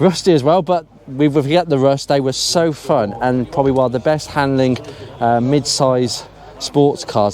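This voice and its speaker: Noticeable background noise sits behind a man speaking at a moderate pace. His pitch is medium, with ordinary pitch variation. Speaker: car enthusiast YouTuber. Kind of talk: casual commentary walking around a car show.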